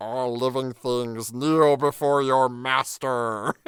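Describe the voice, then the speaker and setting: A put-on character voice at a low-to-middle pitch delivers its lines at a very slow pace. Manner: goofy, overblown.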